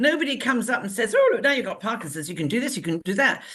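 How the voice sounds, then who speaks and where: With an English accent, a woman speaks in an animated tone with very wide pitch swings. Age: 60s. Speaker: talk show co-host. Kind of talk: casual chat.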